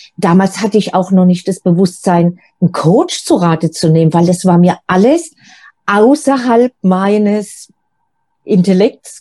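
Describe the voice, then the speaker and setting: Somewhat breathy and very slow, a woman speaks in a dark, mellow tone at medium pitch, with ordinary pitch variation and very even loudness. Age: 50s. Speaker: single coach. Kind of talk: interview.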